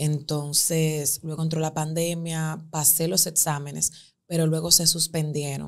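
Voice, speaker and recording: A woman with a very deep, low pitch talks in a monotone, flat intonation against a quiet background. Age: 20s. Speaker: lawyer and image consultant; lawyer. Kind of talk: interview. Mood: emotional personal storytelling. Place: studio. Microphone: studio mic.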